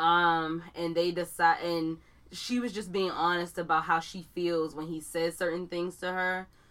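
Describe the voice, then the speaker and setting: Recorded very cleanly against a silent background, a woman with an American accent talks slowly in a fairly low, monotone, flat voice. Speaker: podcast co-host. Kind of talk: casual chat between friends.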